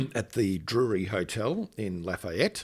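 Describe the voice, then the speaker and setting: A man's very slow voice, fairly low in pitch, with ordinary pitch variation. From Australia. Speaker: channel host, paramedic. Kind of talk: interview. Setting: hotel.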